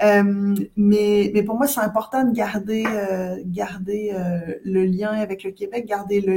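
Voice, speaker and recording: At a very slow pace, a woman speaks at medium pitch with fairly even intonation over noticeable background noise. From Quebec. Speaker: scientific director in cosmetics. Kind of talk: interview conversation.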